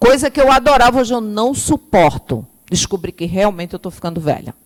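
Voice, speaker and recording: A woman speaks at a moderate pace with very wide swings in pitch, recorded dry and close with no echo. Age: 50s. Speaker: spiritist lecturer. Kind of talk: lecture.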